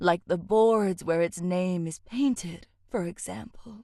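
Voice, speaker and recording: A female-sounding, put-on character voice moves at a fairly slow pace at medium pitch. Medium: machinima.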